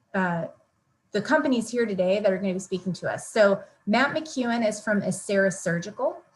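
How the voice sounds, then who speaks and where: Somewhat breathy, a woman with an American accent talks at a moderate pace and a medium pitch. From Massachusetts. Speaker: event moderator. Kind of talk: event hosting.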